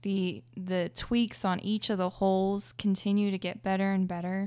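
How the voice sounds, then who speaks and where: Very clean recording, silent background. A woman with an unremarkable speaking voice and an American accent talks at a moderate pace and medium pitch with fairly even intonation. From Oklahoma. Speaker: disc golfer. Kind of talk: casual interview. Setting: studio.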